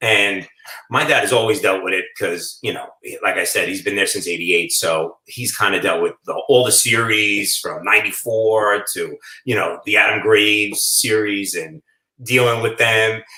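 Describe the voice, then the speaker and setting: The speaker has a New York accent and a moderate pace. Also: man. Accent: New York (Staten Island). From Staten Island, New York. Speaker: food shop owner. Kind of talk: casual chat.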